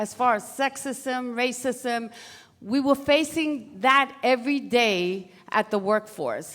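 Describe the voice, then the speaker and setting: A woman with an American accent speaks at a very slow pace. Her pitch is high, with ordinary variation. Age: 60s. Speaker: former activist, panelist. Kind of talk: panel discussion.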